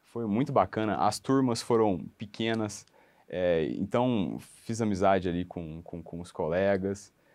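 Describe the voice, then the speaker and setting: Speaking at a fairly slow pace, a man with a fairly low pitch shows ordinary pitch variation and big swings in loudness. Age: 30s. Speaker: law graduate preparing for public exams; interviewee. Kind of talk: testimonial interview. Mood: friendly, smiling. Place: office. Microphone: lapel.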